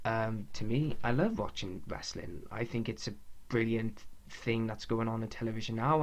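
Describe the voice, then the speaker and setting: In a Welsh accent, the speaker talks at a moderate pace with ordinary pitch variation and audible room echo. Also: man. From Wales. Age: 20s. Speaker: podcast host, wrestling fan. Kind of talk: casual monologue podcast. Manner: halting, with pauses and stuttering.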